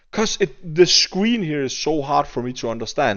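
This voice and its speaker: Using a Danish accent, a man speaks at a moderate pace with lively intonation. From Denmark. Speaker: gaming YouTuber. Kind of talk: gameplay commentary rant. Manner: halting, with repeated words.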